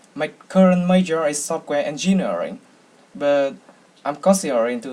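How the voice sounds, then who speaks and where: In a Vietnamese accent, a man speaks at a moderate pace. His pitch is fairly high and his intonation lively. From Vietnam, Hanoi. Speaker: university student. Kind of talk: speech contest entry. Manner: halting, with fillers.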